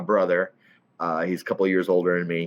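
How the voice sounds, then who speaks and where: A man talks with a slight Southern accent. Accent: slight southern drawl. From southern Illinois (Centralia). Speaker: CEO and networking event host. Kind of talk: casual podcast interview.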